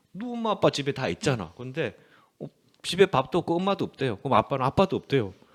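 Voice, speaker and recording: This man talks very fast in a fairly high pitch, his voice swinging very widely and showing vocal fry. The sound is dry and close, with no echo. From Korea, rural area. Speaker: church radio show host. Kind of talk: casual chat. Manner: hesitant, many fillers.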